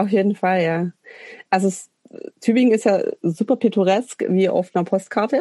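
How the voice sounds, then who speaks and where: Woman's medium-pitched, dark, mellow voice at a moderate pace, with ordinary pitch variation and long, frequent pauses, in a dry, close sound with no echo. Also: very even loudness. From Swabian Alb, Germany (Münsingen). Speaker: punk musician and social worker. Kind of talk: casual interview chat.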